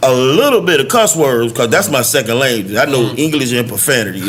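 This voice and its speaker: Talking very fast with a Southern US accent, a man swings his pitch very widely while noticeable background noise runs behind him. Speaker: rapper. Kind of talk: podcast interview answer. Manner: passionate.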